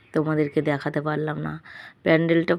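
A woman's very deep, low voice in a monotone, flat intonation, dry and close with no echo on a very clean recording with a silent background. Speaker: vlogger. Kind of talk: casual vlog narration.

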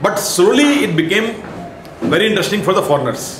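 Background noise is clearly audible. Over it, a man speaks fairly quickly. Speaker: lecturer. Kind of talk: lecture. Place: classroom. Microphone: camera far.

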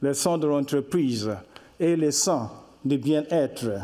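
Ordinary pitch variation runs through this man's speech. The background is quiet. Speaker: speaker. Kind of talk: lecture. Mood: warm, smiling explanatory. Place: hall. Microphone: podium.

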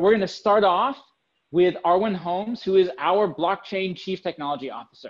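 A man speaks with a high pitch at a fairly quick pace. The background is quiet. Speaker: online summit host. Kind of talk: event host introduction. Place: home room. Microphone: webcam.

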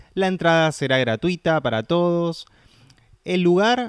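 A man speaks at a high pitch in a dry, close sound with no echo. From Buenos Aires, Argentina. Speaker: deaf film worker and festival organizer. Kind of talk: interview. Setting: studio.

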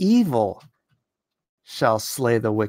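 Over a quiet background, the speech moves at a very slow pace with very wide pitch swings. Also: man. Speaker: YouTube political commentary host and comic artist; YouTube political commentary host, comic artist. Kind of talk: live-stream commentary. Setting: live stream. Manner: animated. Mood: opinionated, animated. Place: home room. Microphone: studio mic.

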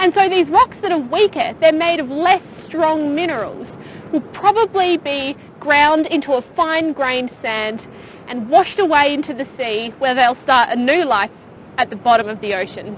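A woman speaks in a high voice with lively intonation at a moderate pace. Faint background noise sits behind her. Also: few pauses.

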